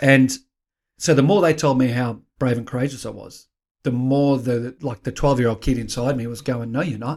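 A man with an Australian accent, medium pitch, moderate pace and fairly even intonation, on a very clean recording with a silent background. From Australia, Queensland. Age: 50s. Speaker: author and life coach, former police officer. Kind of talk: interview.

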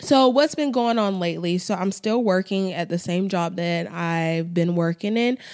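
An ordinary speaking voice from a woman, medium in pitch, at a fairly slow pace with ordinary pitch variation. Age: 20s. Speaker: podcast host. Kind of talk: casual monologue. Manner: conversational, filler-heavy.

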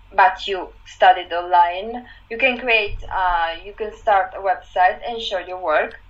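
A woman's medium-pitched voice with an Italian accent, at a fairly slow pace. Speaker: fashion website founder. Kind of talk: casual chat.

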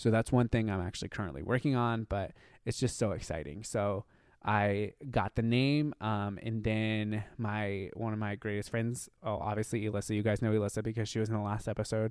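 An ordinary speaking voice from a man, fairly low in pitch, with fairly even intonation and a fairly quick pace, on a very clean recording with a silent background. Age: 30s. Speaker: podcast host. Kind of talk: solo casual monologue.

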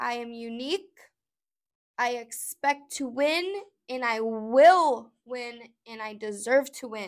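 A woman with a high pitch speaks at a very slow pace, with long, frequent pauses and ordinary pitch variation. Her loudness swings widely in a very clean recording with a silent background. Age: 30s. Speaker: podcast host, mother. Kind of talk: motivational self-help talk. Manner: emphatic.

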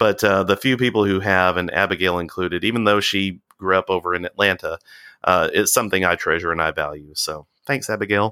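Speaking at a fairly quick pace with an American accent, a man with a very deep, low voice and a bright, sharp tone keeps his intonation fairly even, on a very clean recording with a silent background and a dry, close sound with no echo. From US South, Alabama (Walker County). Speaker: cult survivor. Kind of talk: interview.

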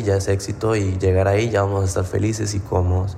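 A man talks at a fairly quick pace with a fairly low pitch, somewhat breathy and in a monotone, flat intonation. Audible room echo fills the recording. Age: 20s. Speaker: fitness coach and podcast host. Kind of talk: casual monologue.

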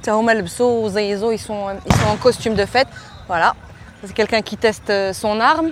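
A woman's fairly high voice at a very slow pace, with long, frequent pauses, big swings in loudness, ordinary pitch variation and noticeable background noise. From Morocco. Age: 40s. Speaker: podcast host. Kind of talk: narrated documentary podcast; live on-site description. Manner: animated.

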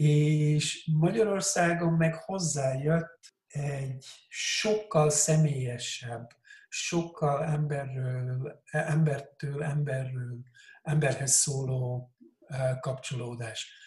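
A man speaks very slowly at a fairly high pitch. His voice is somewhat breathy, with ordinary pitch variation. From Switzerland, Hungarian parents. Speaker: coach. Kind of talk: casual interview.

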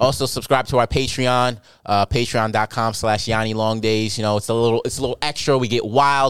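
Using a plain, everyday voice with an American accent, a man speaks at medium pitch and a fairly quick pace with fairly even intonation. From New York. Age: 20s. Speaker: comedian. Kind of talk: casual chat.

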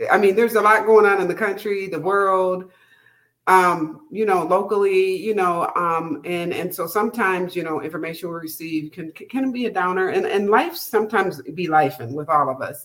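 A woman with an American accent speaks at a moderate pace and a medium pitch. She has a plain, everyday voice with ordinary pitch variation. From Minnesota. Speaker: podcast host and life coach. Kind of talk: casual interview.

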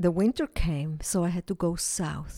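The tone is dark and mellow, with a dry, close sound and no echo. The recording is very clean, with a silent background. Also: woman. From Switzerland. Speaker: potter and musician. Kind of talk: testimony. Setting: at home.

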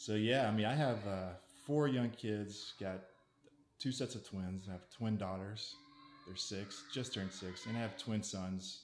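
A man talks in a normal speaking voice at a fairly low pitch. His pitch variation is ordinary. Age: 40s. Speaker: marketing content producer. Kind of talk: casual interview chat.

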